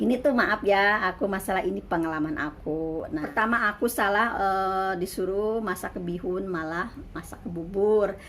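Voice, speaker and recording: Using an ordinary speaking voice, a woman talks at a moderate pace with hardly any pauses. Her pitch is medium, with ordinary pitch variation. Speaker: migrant domestic worker and vlogger. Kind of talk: casual vlog monologue.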